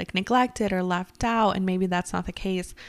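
The recording of this woman is very clean, with a silent background. She has an unremarkable speaking voice and fairly even intonation. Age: 20s. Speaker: podcast co-host. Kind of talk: casual chat.

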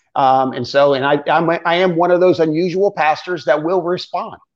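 Over a quiet background, a man with an American accent and an unremarkable speaking voice talks at a moderate pace with a fairly high pitch and ordinary pitch variation. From Florida. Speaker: pastor. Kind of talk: casual ministry interview.

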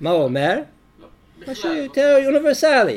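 With a non-native accent, a man speaks using very wide pitch swings. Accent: foreign accent in Hebrew. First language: English (speaking Hebrew). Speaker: rabbi and lecturer. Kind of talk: lecture.

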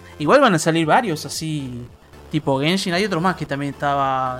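A man talks at a fairly quick pace with a fairly high pitch. Music plays in the background. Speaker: podcast co-host. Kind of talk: casual chat.

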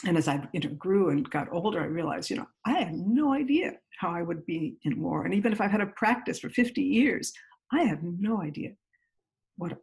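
A woman with an American accent sounds somewhat breathy. She keeps a moderate pace and lively intonation. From US Northeast, Great Neck, New York. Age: 60s. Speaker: mindfulness teacher. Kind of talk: interview.

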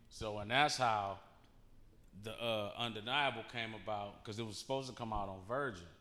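A man's bright, sharp tone at a moderate pace, with fairly even intonation and audible room echo. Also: medium pitch for a man. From Detroit. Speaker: rapper. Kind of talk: casual interview.

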